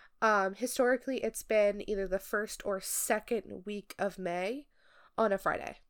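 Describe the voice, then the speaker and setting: A woman with an ordinary speaking voice, medium pitch and fairly even intonation, at a moderate pace on a very clean recording with a silent background. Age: 20s. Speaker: podcast co-host. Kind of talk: casual chat.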